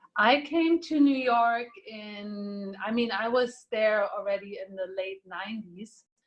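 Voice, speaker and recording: Somewhat breathy, a woman speaks at a very slow pace with hardly any pauses, ordinary pitch variation and big swings in loudness. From Germany. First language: Slovak. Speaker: triathlete and art professional. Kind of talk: podcast interview. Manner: halting.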